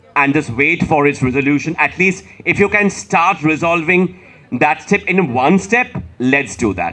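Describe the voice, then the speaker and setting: With a Bengali accent, a man speaks slowly enough to sound fairly slow, his fairly high pitch making very wide swings. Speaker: author. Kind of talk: panel discussion.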